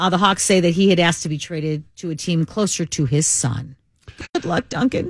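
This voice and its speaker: At a fairly quick pace, a woman with a fairly low, somewhat breathy voice shows ordinary pitch variation in a very clean recording with a silent background. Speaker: radio co-host. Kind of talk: casual banter on talk radio. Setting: studio.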